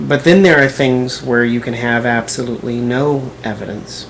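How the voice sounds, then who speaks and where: A man speaks fairly slowly with noticeable background noise behind him. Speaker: video blogger. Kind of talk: response video monologue.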